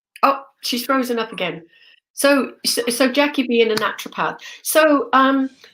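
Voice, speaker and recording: With a British accent, a woman speaks at a high pitch. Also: ordinary pitch variation, moderate pace. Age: 60s. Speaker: spiritual medium and teacher. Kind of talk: casual chat.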